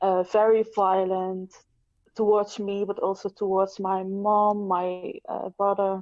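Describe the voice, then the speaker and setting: A woman with a non-native accent speaks at a very slow pace, her medium pitch held in a monotone, flat intonation. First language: not English. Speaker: abuse survivor, writer. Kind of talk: personal testimony. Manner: halting, many fillers.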